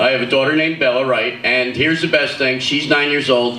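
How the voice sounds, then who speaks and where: In an American accent, the speaker comes through with audible room echo and noticeable background noise. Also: man. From US East Coast, Philadelphia. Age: 60s. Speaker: comedian. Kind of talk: stand-up. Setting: stage with audience. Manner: animated.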